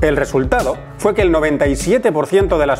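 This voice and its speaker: An upbeat, playful tone at a moderate pace with ordinary pitch variation and music in the background. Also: man. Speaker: voice actor. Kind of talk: casual educational talk to camera.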